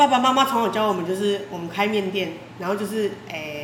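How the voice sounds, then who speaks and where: A woman talks at a very fast pace with a medium pitch. Audible room echo and noticeable background noise surround her voice. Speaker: noodle shop owner. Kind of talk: casual chat.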